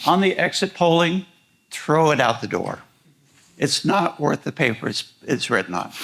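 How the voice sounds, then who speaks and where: The voice carries vocal fry and lively intonation at a moderate pace. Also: man, fairly high pitch for a man. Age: 70s. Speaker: political strategist. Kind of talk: panel discussion.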